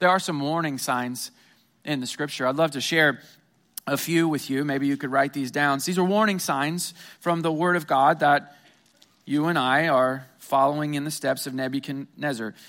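With an American accent, a man speaks at a moderate pace in an unremarkable speaking voice, fairly high in pitch and fairly even in intonation. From Missouri, US Midwest. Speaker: pastor. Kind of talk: sermon. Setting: church.

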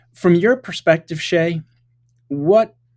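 A man speaks with lively intonation. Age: 50s. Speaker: podcast host. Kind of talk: interview.

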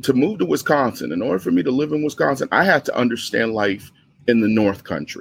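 Talking very fast with an American accent, a man swings his pitch very widely and lets vocal fry creep in. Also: medium pitch for a man. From New York City, the Bronx. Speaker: special education teacher. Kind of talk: interview.

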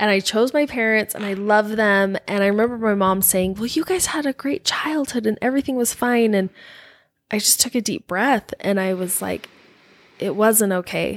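Recorded with a dry, close sound and no echo, a woman with a normal speaking voice and an American accent talks at a moderate pace and a fairly high pitch with ordinary pitch variation. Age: 40s. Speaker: guest sharing faith-leaving story. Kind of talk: casual interview chat.

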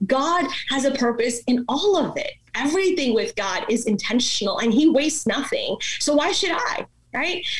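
A woman talks at a high pitch with very wide pitch swings. Noticeable background noise is present. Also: moderate pace. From born in India, raised in Dallas, Texas from age seven. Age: 30s. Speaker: pastor, speaker and author. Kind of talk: interview conversation.

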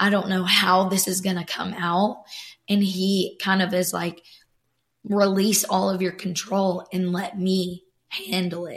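A woman speaks at medium pitch in a monotone, flat way. Her voice is somewhat breathy. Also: fairly slow pace. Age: 20s. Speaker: church creative worker, guest. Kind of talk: casual faith conversation.

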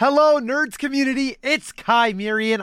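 A man's raised, projected voice, bright and sharp in tone, upbeat and enthusiastic, with lively intonation, in a dry, close sound with no echo on a very clean recording with a silent background. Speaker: guest, gamer and streamer. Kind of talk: casual chat interview. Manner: upbeat, enthusiastic.

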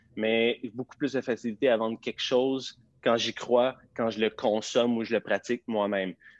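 This voice carries a Quebec accent. It keeps a moderate pace with fairly even intonation. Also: man. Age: 30s. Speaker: fitness entrepreneur. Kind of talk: interview. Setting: live video stream.

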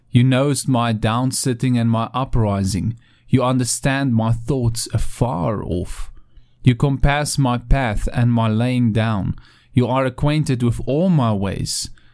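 In a very clean recording with a silent background, a man with an ordinary speaking voice talks at a fairly slow pace, medium pitch and ordinary pitch variation. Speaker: pastor. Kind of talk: devotional talk with scripture reading and prayer. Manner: warm, earnest, pastoral.

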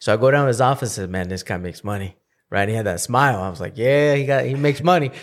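With lively intonation, a man talks at a very fast pace. Behind him the background is silent, and the recording is very clean. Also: medium pitch for a man. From Northern California, born in Mexico. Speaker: entrepreneur. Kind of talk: casual chat. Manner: animated.

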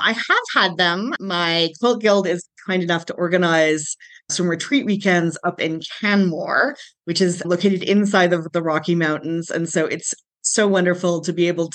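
Speaking in an unremarkable speaking voice, a woman keeps a fairly low pitch, fairly even intonation and a moderate pace. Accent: Canadian. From Calgary, Alberta, Canada. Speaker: quilter. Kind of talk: interview.

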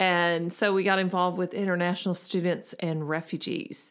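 A woman with an American accent and a plain, everyday voice speaks at a moderate pace and medium pitch with ordinary variation, on a very clean recording with a silent background. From US South, Memphis, Tennessee. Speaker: podcast co-host, missions counselor. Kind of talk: casual chat. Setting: home office.

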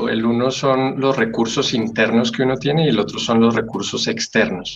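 With hardly any pauses and very even loudness, a man speaks at a medium pitch over noticeable background noise. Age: 30s. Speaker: grief counselor and death educator. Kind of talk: interview.

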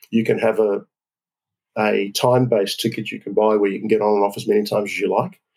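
A man speaks with an Australian accent. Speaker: business council president, frequent traveller. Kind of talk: interview.

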